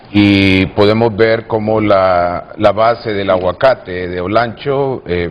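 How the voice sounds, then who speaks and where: The delivery is at a very slow pace with fairly even intonation. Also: man. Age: 60s. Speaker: governance analyst. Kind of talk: televised panel debate.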